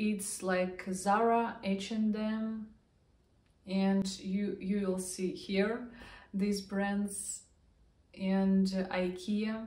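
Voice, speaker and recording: Very slow with long, frequent pauses, a woman with a Russian accent speaks at a medium pitch, somewhat breathy and dark and mellow in tone, with fairly even intonation, very even loudness and audible room echo. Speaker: vlogger. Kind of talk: casual vlog talk to camera.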